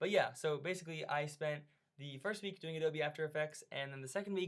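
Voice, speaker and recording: The speaker goes at a fairly quick pace with fairly even intonation. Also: man. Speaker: teacher presenting course project. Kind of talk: screencast tutorial walkthrough. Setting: screen recording at computer. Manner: fast; casual, hesitant with fillers.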